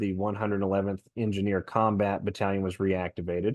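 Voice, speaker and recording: A man talks at a very fast pace with a fairly low pitch. The background is quiet. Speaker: conspiracy podcaster. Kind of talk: solo commentary podcast.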